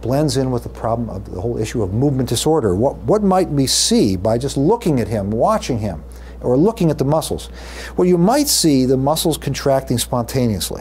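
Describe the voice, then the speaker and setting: Audible room echo and noticeable background noise accompany a man speaking at a fairly quick pace. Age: 60s. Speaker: neurology professor. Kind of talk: lecture. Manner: hesitant fillers.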